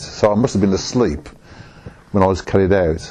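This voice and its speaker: This man has a dark, mellow tone and a Birmingham accent. His pitch sits fairly low, and he talks at a fairly quick pace. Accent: Birmingham (Brummie) English. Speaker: oral history interviewee. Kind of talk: oral history interview. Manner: halting, with many restarts.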